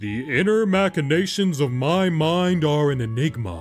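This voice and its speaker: A man's put-on character voice, fairly high in pitch, at a moderate pace over faint background music. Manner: goofy, slow-witted.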